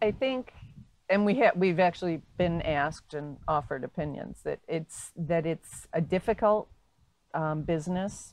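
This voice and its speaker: In a quiet background, a woman with an unremarkable speaking voice and an American accent talks at a fairly slow pace. Her pitch is fairly low, and her intonation is lively. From Binghamton, upstate New York. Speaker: retired winery owner, former lawyer. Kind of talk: oral history interview.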